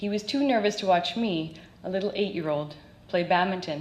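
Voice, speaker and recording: Amid noticeable background noise, a woman with a Canadian accent speaks at a moderate pace in a medium pitch. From Canada, North Vancouver. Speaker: Olympic badminton player and parent. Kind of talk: recorded talk to an audience.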